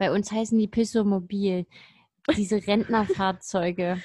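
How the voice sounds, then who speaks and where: Her somewhat breathy voice has a dark, mellow tone, a medium pitch and fairly even intonation, and the woman is heard on a very clean recording with a silent background. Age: 30s. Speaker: podcast co-host. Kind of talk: casual chat.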